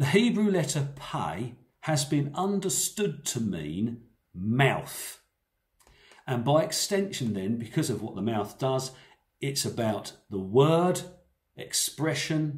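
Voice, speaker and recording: At a very slow pace with long, frequent pauses, a man talks in a somewhat breathy voice with very wide pitch swings. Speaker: preacher. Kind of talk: sermon. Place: home room. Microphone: phone near.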